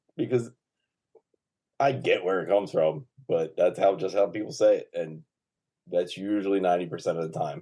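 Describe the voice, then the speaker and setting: Mumbling, a man talks at a fairly quick pace. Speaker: podcast guest. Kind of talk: casual chat.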